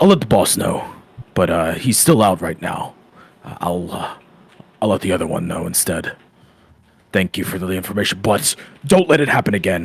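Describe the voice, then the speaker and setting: A man's put-on character voice, very deep and raspy, at a moderate pace with long, frequent pauses. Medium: actual play.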